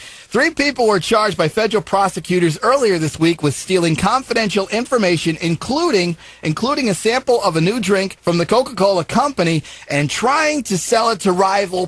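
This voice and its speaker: A high-pitched man with lively intonation, very even loudness and a moderate pace, with noticeable background noise. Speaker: radio DJ. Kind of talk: morning show news banter. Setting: radio station broadcast. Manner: chatty, humorous, conversational.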